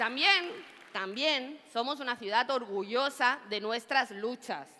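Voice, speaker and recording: A woman with an Ecuadorian accent speaks at a high pitch in an animated tone, with ordinary pitch variation and a moderate pace. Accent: Latin American (Ecuadorian) Spanish. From Spain, Catalonia (Badalona). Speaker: politician. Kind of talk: political rally speech. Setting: stage with audience.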